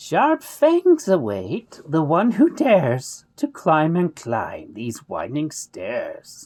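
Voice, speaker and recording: A squeaky, put-on character voice at a middle pitch, delivered at a very slow pace. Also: hardly any pauses. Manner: intoning, ominous.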